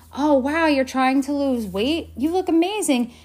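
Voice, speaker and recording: With an animated tone, a woman talks at a high pitch and a moderate pace. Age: 40s. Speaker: podcast host. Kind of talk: solo podcast monologue.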